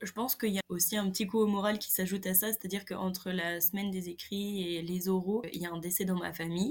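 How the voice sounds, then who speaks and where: In a flat monotone, a woman speaks at a very fast pace. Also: medium pitch for a woman, hardly any pauses. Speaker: agronomy engineering student. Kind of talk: casual interview.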